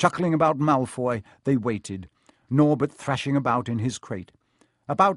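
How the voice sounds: Against a quiet background, the speaker uses a natural reading voice and ordinary pitch variation.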